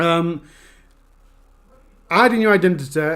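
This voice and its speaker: Bright and sharp, a man's high-pitched voice shows ordinary pitch variation on a very clean recording with a silent background. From Yorkshire, Sheffield. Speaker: true crime YouTuber. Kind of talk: live stream Q&A. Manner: fast.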